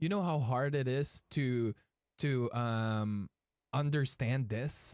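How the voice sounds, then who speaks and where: The recording is very clean, with a silent background and a dry, close sound with no echo. A man with a Filipino accent speaks at a fairly high pitch. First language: Tagalog. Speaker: streamer and card game player. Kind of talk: live gameplay stream chat. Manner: halting.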